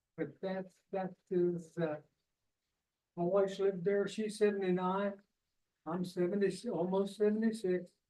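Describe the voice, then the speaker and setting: A man speaks at a moderate pace with long, frequent pauses, his high-pitched voice monotone and flat. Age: 70s. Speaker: resident speaking at public comment. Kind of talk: public comment at council meeting. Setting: city council meeting.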